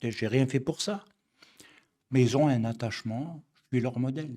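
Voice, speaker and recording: A man at a medium pitch, dark and mellow in tone, at a fairly slow pace. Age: 60s. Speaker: messianic rabbi. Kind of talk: religious study lecture. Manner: halting, with many fillers and repetitions.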